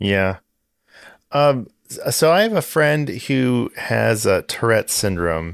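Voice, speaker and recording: Against a silent background in a very clean recording, a man talks at a very slow pace. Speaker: podcast host. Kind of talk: interview question.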